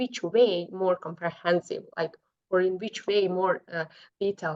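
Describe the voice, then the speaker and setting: A woman with a non-native accent talks at a moderate pace with ordinary pitch variation. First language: not English. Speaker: podcast host. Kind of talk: interview conversation.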